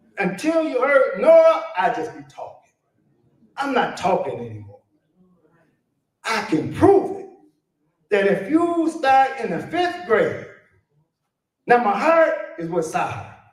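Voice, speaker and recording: An animated man's extremely high voice with very wide pitch swings, long, frequent pauses and audible room echo. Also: fairly slow pace. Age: 70s. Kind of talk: conference talk.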